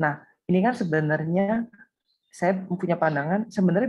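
A woman speaks at a fairly low pitch. Her pitch varies in an ordinary way, and the background is quiet. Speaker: small business owner, participant. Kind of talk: interview answer. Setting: video call. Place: home room. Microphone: video call.

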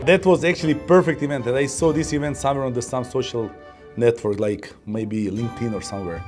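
With clear music in the background, a man with a strong Eastern European accent talks fairly quickly, his pitch swinging very widely. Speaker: company employee, delivery team manager. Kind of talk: non-native English with grammar slips. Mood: relaxed, amused. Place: office.

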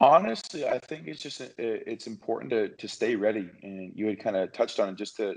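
With an American accent, a man talks at a moderate pace and a fairly low pitch against a quiet background. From US, small town. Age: 20s. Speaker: professional basketball player; podcast guest. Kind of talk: casual interview. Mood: calm, thoughtful. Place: home room. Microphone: video call.

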